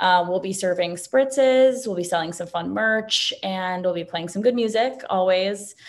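A woman with an ordinary speaking voice and an American accent, medium pitch, ordinary pitch variation and a moderate pace. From New York City. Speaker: entrepreneur. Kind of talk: interview.

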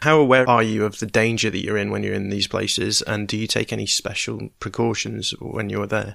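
Fairly low in pitch and showing vocal fry, a man talks at a fairly quick clip. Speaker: podcast host. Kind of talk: interview intro and questions.

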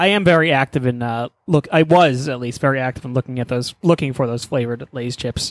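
A plain, everyday voice with an American accent moves at a fairly quick pace with ordinary pitch variation, the sound dry and close with no echo. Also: man, medium pitch for a man. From Texas. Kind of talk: casual chat.

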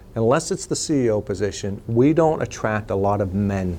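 With an American accent, a man talks at a moderate pace in an unremarkable speaking voice, his fairly low pitch carried by lively intonation. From western Pennsylvania (New Castle, Pittsburgh area). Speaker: nonprofit executive. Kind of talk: interview.

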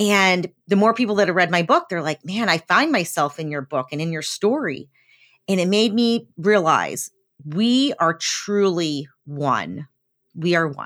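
A woman with an American accent has an unremarkable speaking voice, fairly low in pitch. She talks at a fairly slow pace with lively intonation. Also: very clean recording, silent background. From US South, eastern Tennessee. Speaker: accountant and business owner. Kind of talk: interview.

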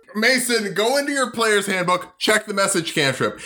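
A man speaks in a raised, projected voice, high-pitched with lively intonation. Noticeable background noise is present. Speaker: player in a D&D game. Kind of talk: casual comedic tabletop roleplay.

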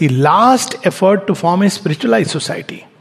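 A high-voiced man talks at a moderate pace as noticeable background noise carries on. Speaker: spiritual teacher. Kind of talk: lecture.

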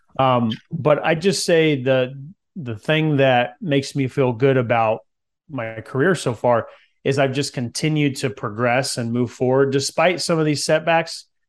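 A man with an American accent has an ordinary speaking voice at a medium pitch with ordinary pitch variation. He keeps a moderate pace on a very clean recording with a silent background. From Central California. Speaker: former pro football player turned real estate investor. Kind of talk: interview.

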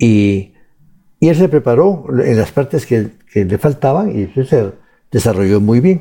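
Speaking at a fairly slow pace, a man with a dark, mellow tone makes very wide pitch swings. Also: medium pitch for a man. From Guatemala, Huehuetenango. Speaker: economist and author. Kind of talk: interview. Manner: halting, many repetitions.

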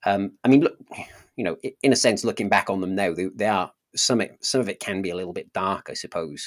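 A man with a Welsh accent speaks at a very fast pace, in a dry, close sound with no echo on a very clean recording with a silent background. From South Wales. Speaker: pastor and apologist. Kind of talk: casual interview, telling personal story.

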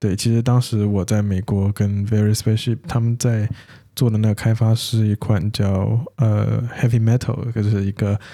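In a very clean recording with a silent background, a man with a fairly low pitch and a dark, mellow tone speaks at a moderate pace, his loudness very even and his intonation monotone and flat. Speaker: podcast co-host, developer. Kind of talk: casual chat.

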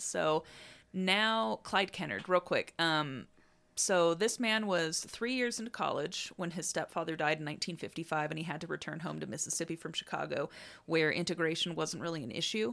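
On a very clean recording with a silent background, a woman with a fairly low pitch uses an ordinary speaking voice, lively intonation and a moderate pace. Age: 30s. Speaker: podcast co-host. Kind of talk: casual chat; storytelling from research notes.

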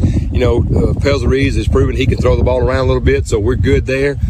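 Over noticeable background noise, a man talks at a very fast pace with hardly any pauses and very even loudness. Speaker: high school football coach. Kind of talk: pregame interview. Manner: halting, with frequent fillers.

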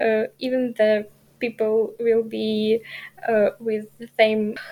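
Very slowly, a woman speaks in a fairly high voice. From Ukraine. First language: Ukrainian. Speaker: journalism student. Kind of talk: interview. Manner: halting.

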